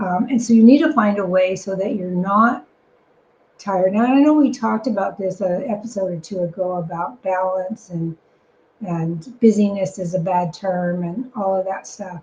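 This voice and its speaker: A woman speaks at a moderate pace in a medium pitch, her voice somewhat breathy, with ordinary pitch variation. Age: 60s. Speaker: business operations consultant and podcast co-host. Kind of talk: podcast conversation.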